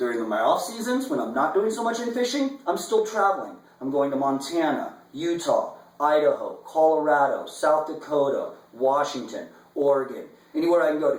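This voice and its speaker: A man talks at a moderate pace in an animated tone, with audible room echo and noticeable background noise. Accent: American. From US Midwest, Omaha, Nebraska. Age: 30s. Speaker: fly fishing guide. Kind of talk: audition video monologue. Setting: indoors, apartment.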